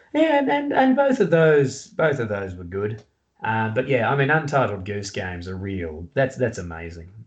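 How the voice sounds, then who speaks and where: Talking at a moderate pace and medium pitch, a man with an Australian accent uses lively intonation and big swings in loudness. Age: 30s. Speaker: author and comedian. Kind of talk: casual chat.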